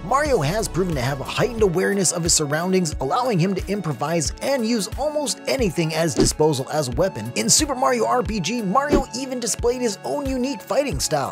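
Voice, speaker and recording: Over music in the background, a man talks very fast at a high pitch with very wide pitch swings and hardly any pauses. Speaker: voice actor. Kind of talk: character explainer narration.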